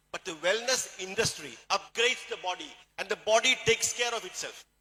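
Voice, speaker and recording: A man with a Keralan accent speaks at a fairly quick pace in a high pitch. His tone is bright and sharp, with ordinary pitch variation. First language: Malayalam. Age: 60s. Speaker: plastic surgeon and supplement distributor. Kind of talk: motivational talk.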